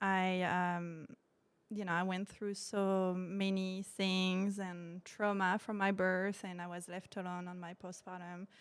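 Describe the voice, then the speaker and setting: A woman's medium-pitched voice with a slight French accent, monotone and flat, at a fairly slow pace, in a very clean recording with a silent background. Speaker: postpartum doula and sophrology practitioner. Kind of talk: podcast interview. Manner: hesitant, many fillers.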